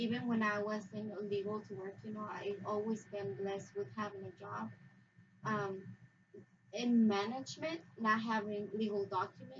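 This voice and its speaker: A woman talks with a Spanish accent. Her pitch is medium. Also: ordinary pitch variation, moderate pace. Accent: Spanish-accented English, noticeable. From Mexico. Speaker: immigrant interviewee. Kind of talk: interview.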